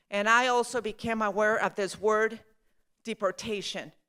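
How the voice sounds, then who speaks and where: On a very clean recording with a silent background, a woman with a Mexican accent talks at a very slow pace and fairly high pitch. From Mexico (Zacatecas), raised in Colorado. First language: Spanish. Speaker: storyteller. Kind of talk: storytelling talk. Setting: stage with audience.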